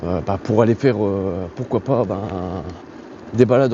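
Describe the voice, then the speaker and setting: Background noise is clearly audible. Through it, a man talks at a medium rate with ordinary pitch movement. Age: 30s. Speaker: YouTuber reviewing products. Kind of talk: product review while riding. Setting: outdoors on a bike. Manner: halting, many hesitations; casual.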